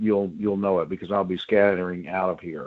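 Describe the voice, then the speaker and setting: A man with an American accent. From US South, New Orleans. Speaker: economic development and resilience expert. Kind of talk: webinar presentation. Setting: home office, video call.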